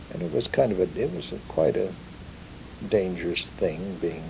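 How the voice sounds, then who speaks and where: Noticeable background noise accompanies a man with a Pacific Northwest accent talking at a fairly slow pace. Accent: Pacific Northwest American English. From Ellensburg area, Kittitas County, Washington, USA. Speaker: ranch-raised oral historian. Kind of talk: oral history recollection.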